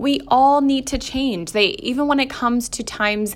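A woman speaks in an animated tone at a moderate pace with ordinary pitch variation. The recording is very clean with a silent background. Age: 30s. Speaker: podcast host. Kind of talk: personal monologue.

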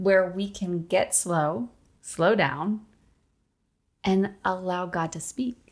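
This woman's voice sits at a medium pitch with ordinary pitch variation. The recording is very clean, with a silent background. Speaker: podcast co-host, ministry leader. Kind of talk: casual faith chat. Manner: emphatic greeting.

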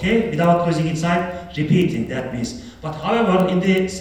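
With a Turkish accent, a man talks at a moderate pace and high pitch with ordinary pitch variation, and noticeable background noise can be heard. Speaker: professor. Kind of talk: lecture. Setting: stage with audience. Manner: halting.

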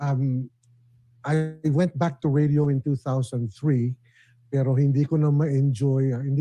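Against a quiet background, a man talks fairly slowly in a fairly high, somewhat breathy voice with a dark, mellow tone and ordinary pitch variation. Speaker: former radio DJ. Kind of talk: casual chat. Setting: video call.

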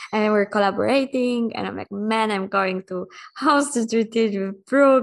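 With a Polish accent, a woman talks at a fairly slow pace and fairly even intonation over a quiet background. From Poland. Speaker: human design coach. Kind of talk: casual chat.

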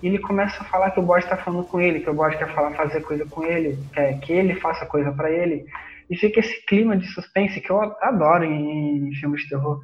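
This man's voice is high in pitch, with ordinary pitch variation. He talks at a very fast pace. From Rio de Janeiro state, Brazil. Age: 20s. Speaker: podcast co-host. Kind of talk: casual chat.

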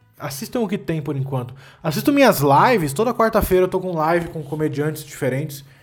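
Music plays in the background as a man speaks at a fairly quick pace. His fairly high voice has lively intonation. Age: 20s. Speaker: comedian podcast host. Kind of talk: solo comedic monologue. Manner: animated, ranting.

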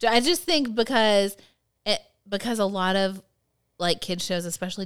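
On a very clean recording with a silent background, a woman talks in an unremarkable speaking voice. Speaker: podcast co-host, works with teens. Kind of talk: casual chat.

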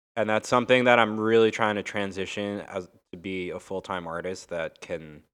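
A man's plain, everyday voice, fairly low in pitch, with an American accent, fairly even intonation and a moderate pace, on a very clean recording with a silent background. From Long Island, New York. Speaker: DJ and music producer. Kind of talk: casual chat.

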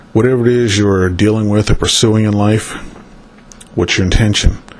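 Noticeable background noise surrounds a man with an American accent. His pitch is fairly low, and his intonation is fairly even. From northern US. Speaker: spiritual consultant, angel card reader. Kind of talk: solo monologue, card reading. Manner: meandering, many fillers.

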